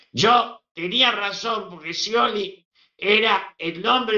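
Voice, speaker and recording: A man speaks in a raised, projected voice with a Rioplatense accent. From Argentina. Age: 80s+. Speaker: veteran politician. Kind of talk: interview.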